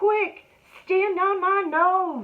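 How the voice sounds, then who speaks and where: A woman uses a put-on character voice, pitched extremely high, with fairly even intonation. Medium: read story. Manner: sly, coaxing.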